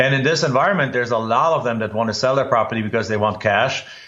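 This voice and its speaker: A man with a German accent speaks at a medium pitch with fairly even intonation. Audible room echo surrounds the voice. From Germany. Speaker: real estate investor and educator. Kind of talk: podcast interview. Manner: halting.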